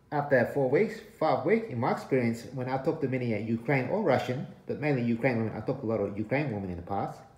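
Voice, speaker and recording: A somewhat breathy man at a very fast pace, with ordinary pitch variation and audible room echo. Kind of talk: casual vlog chat. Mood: warning, earnest. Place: home room. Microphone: phone near.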